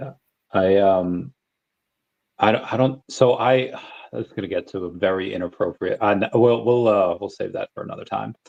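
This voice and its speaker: Medium-pitched male speech at a moderate pace, with ordinary pitch variation, big swings in loudness, long, frequent pauses, and a dry, close sound with no echo. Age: 30s. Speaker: podcast host. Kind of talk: casual chat. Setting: live stream.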